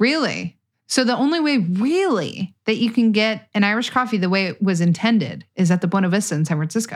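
A woman speaks with lively intonation and a somewhat breathy voice on a very clean recording with a silent background. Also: medium pitch for a woman. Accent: American. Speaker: podcast host. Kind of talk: casual chat.

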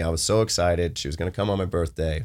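A man talking very fast on a very clean recording with a silent background. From Missouri, Jefferson City. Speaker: Senate candidate. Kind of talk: interview. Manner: casual, conversational.

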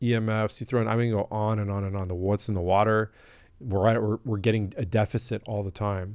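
Here is a man with an American accent. He talks at a moderate pace in a flat monotone. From US West Coast (La Jolla, California). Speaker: supplement company founder and health expert. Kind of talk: podcast interview. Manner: gentle.

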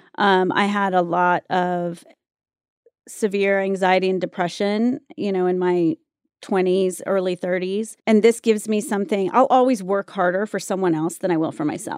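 Woman in an American accent with a normal speaking voice, medium pitch, ordinary pitch variation, moderate pace, and a dry, close sound with no echo. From US South, North Carolina (Wilmington). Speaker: actress and talent manager. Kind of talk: casual chat.

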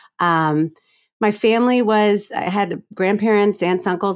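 A woman speaks in a plain, everyday voice with lively intonation. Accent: American. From Florida, US South. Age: 40s. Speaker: author and comedian. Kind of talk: interview about grief.

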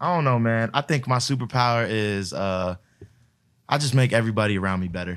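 An ordinary speaking voice belongs to a man with an American accent. He talks at a fairly quick pace with ordinary pitch variation. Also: medium pitch for a man. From Florida. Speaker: music producer and DJ. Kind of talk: casual chat.

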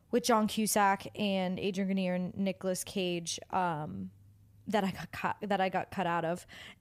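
A woman talks at a moderate pace in an unremarkable speaking voice, medium in pitch with ordinary pitch variation. The recording is very clean, with a silent background. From New Jersey, near New York City. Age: 20s. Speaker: actress and model scout. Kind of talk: casual chat.

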